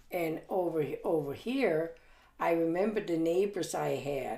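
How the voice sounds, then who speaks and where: A woman talks very slowly in a fairly low pitch, her tone dark and mellow with vocal fry. There is audible room echo. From Germany. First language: German. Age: 80s+. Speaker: grandmother recounting her life. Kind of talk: family interview. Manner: halting, with many fillers.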